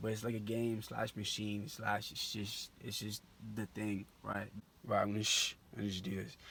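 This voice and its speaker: A man's bright, sharp, fairly low voice in a flat monotone, at a moderate pace. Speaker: vlogger pitching an app idea. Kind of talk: casual vlog monologue. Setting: outdoors at night by a barn. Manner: halting, many fillers.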